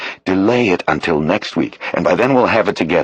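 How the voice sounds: Lively intonation runs through the natural reading voice here.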